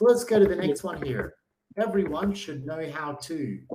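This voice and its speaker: Audible room echo surrounds a man with an Australian accent. He speaks at a moderate pace with lively intonation. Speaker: online English tutor. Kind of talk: language lesson.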